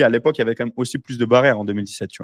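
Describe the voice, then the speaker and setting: A man with a medium-pitched voice is heard in a very clean recording with a silent background, the sound dry and close with no echo. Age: 20s. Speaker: entrepreneur podcast host. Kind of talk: casual chat. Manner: animated.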